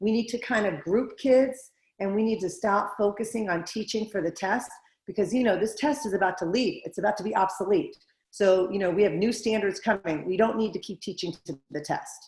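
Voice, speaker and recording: A woman speaks fairly quickly at a medium pitch, her voice somewhat breathy and her pitch varying in an ordinary way. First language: not English. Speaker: school board candidate. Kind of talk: candidate interview.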